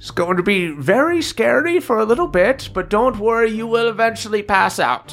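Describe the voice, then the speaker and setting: Over clear music in the background, a man uses a put-on character voice, high-pitched, at a moderate pace with hardly any pauses. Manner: ominous, calm.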